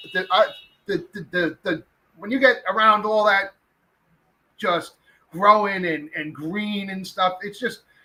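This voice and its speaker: A man with a New York accent, high-pitched for a man, with a bright, sharp tone, a raised, projected voice, a fairly slow pace and long, frequent pauses. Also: big swings in loudness. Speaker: podcast host. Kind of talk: casual chat. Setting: live stream. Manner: loud; animated.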